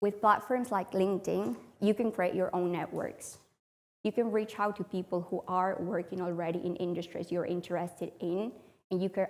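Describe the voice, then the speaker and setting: A woman with a Spanish accent speaks at a medium pitch and moderate pace, with ordinary pitch variation. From Spain. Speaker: public speaker. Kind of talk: talk to audience.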